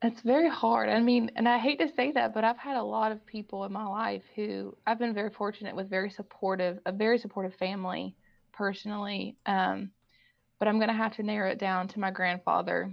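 A woman with a Kentucky accent talks at a fairly quick pace. Her pitch is medium, with ordinary variation. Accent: Kentucky Southern. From Kentucky, Owen County. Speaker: girls basketball assistant coach. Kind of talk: interview.

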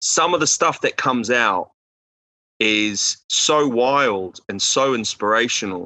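The man's intonation is lively, at a medium pitch. He talks at a very slow pace. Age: 30s. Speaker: film writer and director. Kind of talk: casual interview. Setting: podcast recording. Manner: animated.

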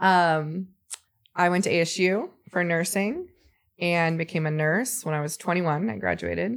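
Here is a woman with an American accent and an unremarkable speaking voice. Her pitch is fairly low, with ordinary variation, and her pace is moderate. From Arizona. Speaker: nurse and foster mother. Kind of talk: casual interview chat.

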